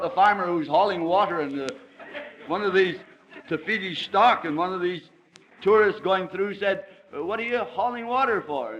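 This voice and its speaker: Against noticeable background noise, a high-pitched man talks with ordinary pitch variation and long, frequent pauses. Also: moderate pace. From Scotland. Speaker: politician. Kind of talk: anecdote told in a speech.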